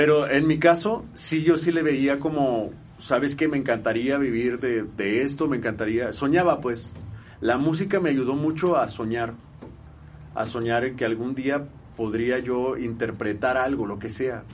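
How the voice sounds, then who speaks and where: Audible room echo surrounds a man speaking at a fairly slow pace, his medium pitch showing ordinary pitch variation. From Mexico, Guadalajara, Jalisco. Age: 30s. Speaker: musician. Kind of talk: casual chat.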